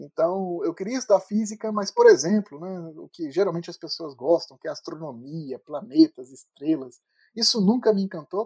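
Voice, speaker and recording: Moving at a moderate pace, a man speaks at a high pitch with lively intonation and big swings in loudness, in a dry, close sound with no echo. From Brazil, Petrópolis (Rio de Janeiro state). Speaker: neuroscience professor. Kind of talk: interview. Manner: halting, many fillers.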